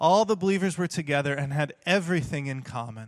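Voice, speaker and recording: Fairly high-pitched for a man, this speaker has a plain, everyday voice with an American accent and lively intonation. The background is quiet. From Texas. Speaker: preacher and theology teacher. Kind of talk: sermon. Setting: church.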